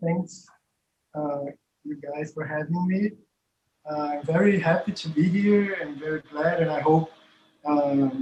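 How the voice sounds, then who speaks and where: A man with a Portuguese accent talks at a very slow pace in a fairly high voice with ordinary pitch variation, leaving long, frequent pauses. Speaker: professor and researcher. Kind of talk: academic conversation. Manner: halting.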